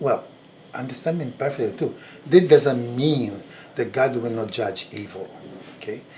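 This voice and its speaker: A man's medium-pitched voice with ordinary pitch variation, big swings in loudness, and long, frequent pauses. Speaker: video blogger. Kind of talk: personal reflection monologue. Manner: slow; halting.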